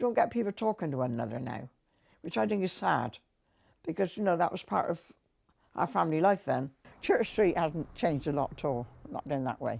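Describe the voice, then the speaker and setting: In a West Country accent, a woman talks at a fairly quick pace with a fairly low pitch, very wide pitch swings and long, frequent pauses. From Wiltshire, England. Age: 80s+. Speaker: elderly local resident. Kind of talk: interview reminiscence.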